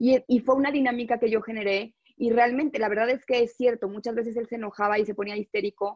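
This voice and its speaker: A woman speaks at a very fast pace with a Mexico City accent. Her intonation stays fairly even. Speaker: life coach. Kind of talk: interview.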